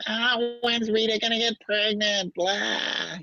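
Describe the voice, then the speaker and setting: Fairly high-pitched put-on character voice, delivered fairly slowly. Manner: nagging, overbearing.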